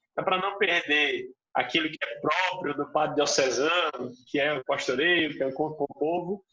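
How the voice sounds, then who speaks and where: This man has an ordinary speaking voice. He talks at a moderate pace with fairly even intonation. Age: young. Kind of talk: interview.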